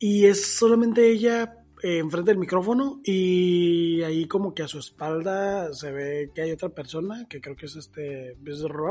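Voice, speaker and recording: A man with a Mexican accent speaks at a fairly slow pace with hardly any pauses, his high-pitched voice dark and mellow in tone, with lively intonation and big swings in loudness. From Mexico. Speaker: podcast co-host. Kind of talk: casual chat.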